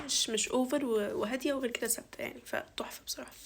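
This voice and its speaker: Against noticeable background noise, a woman with a high voice speaks at a fairly quick pace with fairly even intonation. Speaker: university student vlogger. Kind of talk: get ready with me vlog. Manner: casual, chatty.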